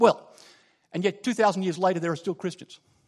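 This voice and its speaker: Against a quiet background, a man talks in an Australian accent. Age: 40s. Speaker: lay preacher. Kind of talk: sermon. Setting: church. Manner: halting, many filler words.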